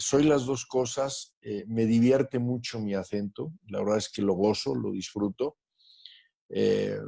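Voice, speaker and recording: A man with a Spanish accent speaks at a very slow pace. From Mexico. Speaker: guest interviewee, doctor. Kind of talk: interview. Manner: halting with fillers.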